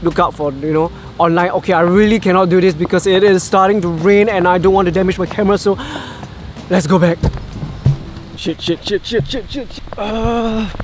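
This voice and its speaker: A man at a fairly quick pace, high-pitched, with fairly even intonation, long, frequent pauses and noticeable background noise. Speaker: travel vlogger and filmmaker. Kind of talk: Q&A vlog. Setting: outdoors in the rain, then his room.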